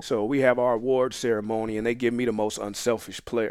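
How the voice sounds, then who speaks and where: On a very clean recording with a silent background, a man with an American accent and a plain, everyday voice talks at a fairly quick pace and medium pitch. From Phoenix, Arizona (South Phoenix). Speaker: former football player and coach. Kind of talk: casual interview.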